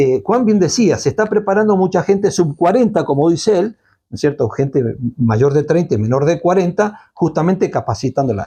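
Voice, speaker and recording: A man's high-pitched, dark, mellow voice with very wide pitch swings. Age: 60s. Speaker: Malvinas commemoration activist. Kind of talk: interview conversation.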